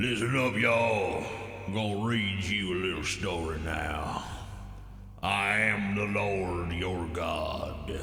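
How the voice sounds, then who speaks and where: Using a put-on character voice, a man talks at a fairly slow pace and fairly low pitch. There is a slight echo, along with clear background noise. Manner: storyteller, reading aloud.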